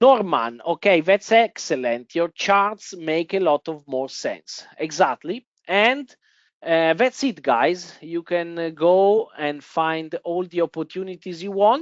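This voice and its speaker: A woman speaks at a very slow pace. Her fairly low voice has lively intonation. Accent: Italian. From Italy. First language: Italian. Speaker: trading software presenter. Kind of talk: webinar presentation. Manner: hesitant, many fillers.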